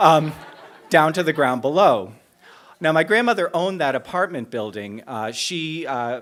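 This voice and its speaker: With lively intonation and a normal speaking voice, a man speaks at a moderate pace. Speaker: storyteller. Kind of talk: live true-story telling on stage.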